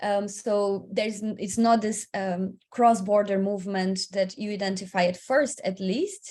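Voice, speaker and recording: Barely pausing, a woman talks in a somewhat breathy, medium-pitched voice with fairly even intonation. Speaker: migration researcher and advocate. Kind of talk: webinar panel talk. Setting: online webinar. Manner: fast; halting.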